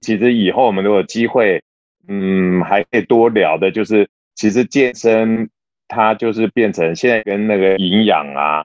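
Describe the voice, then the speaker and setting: Speaking at a moderate pace, a man has an ordinary speaking voice, fairly low in pitch with ordinary pitch variation. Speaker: podcast co-host, office worker and gym-goer. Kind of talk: casual chat.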